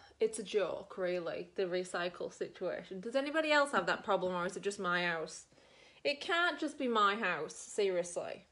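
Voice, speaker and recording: Bright and sharp in tone, a woman's animated, medium-pitched voice swings very widely in pitch over a quiet background. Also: moderate pace. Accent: Australian. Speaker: beauty vlogger. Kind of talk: casual makeup tutorial chat.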